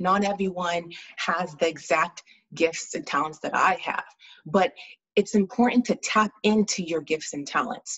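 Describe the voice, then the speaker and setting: A woman speaks at a fairly slow pace in a medium pitch, her voice somewhat breathy and her pitch varying in an ordinary way. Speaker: spoken word poet and pharmacist, speaker and author. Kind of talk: interview answer, explaining her method.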